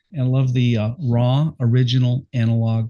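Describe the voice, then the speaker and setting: With a quiet background, a man of medium pitch speaks in a dark, mellow, somewhat breathy voice. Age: 60s. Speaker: podcast host and veteran rock singer. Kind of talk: casual interview. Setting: live video stream. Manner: animated.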